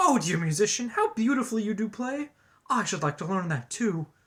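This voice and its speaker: A put-on character voice, pitched fairly high, moves at a fairly quick pace. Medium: read story.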